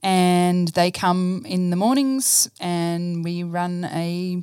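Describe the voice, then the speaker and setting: In a dry, close recording with no echo, a woman talks with an Australian accent. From Australia, rural New South Wales (Dubbo). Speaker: church staff member and science teacher. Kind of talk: casual interview, personal testimony. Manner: hesitant, many fillers.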